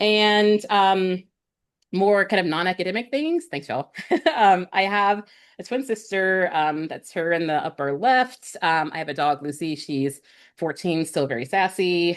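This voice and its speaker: Here a woman talks at a fairly slow pace and medium pitch, against a quiet background. She has an ordinary speaking voice with lively intonation. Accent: American. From US Midwest, St. Louis area, Missouri. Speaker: professor. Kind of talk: casual presentation.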